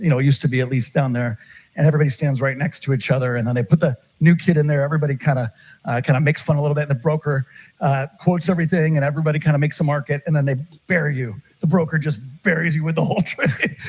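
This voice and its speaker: A somewhat breathy man with an American accent speaks at a very fast pace, his fairly high pitch showing ordinary variation. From Turkey and Texas. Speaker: options trader. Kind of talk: interview conversation. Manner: many filler words and restarts.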